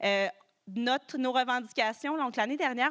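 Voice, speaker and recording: A woman with a Quebec accent at a fairly quick pace. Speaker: farm organization director. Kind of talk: conference talk. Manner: fast; hesitant, many fillers.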